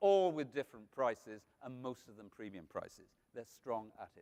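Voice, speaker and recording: With a Welsh accent, a man talks at a moderate pace with lively intonation and a dark, mellow tone. The sound is dry and close, with no echo. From Wales. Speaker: food marketing speaker. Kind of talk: conference talk.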